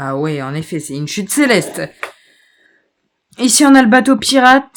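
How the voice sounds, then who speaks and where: A woman speaks at a moderate pace with very wide pitch swings and big swings in loudness. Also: fairly high pitch for a woman. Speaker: gaming streamer. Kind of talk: live gameplay commentary.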